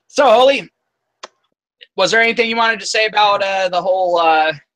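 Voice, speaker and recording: Raised and projected, a man's high-pitched voice with a bright, sharp tone and an American accent moves at a moderate pace with ordinary pitch variation. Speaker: live stream host. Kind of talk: casual chat. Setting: live stream. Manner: halting.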